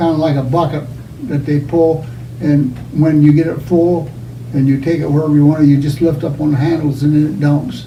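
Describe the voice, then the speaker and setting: This man has an American accent and a fairly high pitch, with monotone, flat intonation. He moves at a fairly quick pace, and the room echo is audible. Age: 80s+. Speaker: elderly parishioner. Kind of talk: oral history interview.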